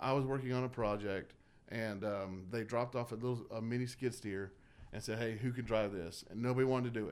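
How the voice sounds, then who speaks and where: A man speaks in a Southern US accent. His intonation stays fairly even. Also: medium pitch for a man, fairly quick pace. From Georgia (Dallas), US South. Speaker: political candidate. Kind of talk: radio interview.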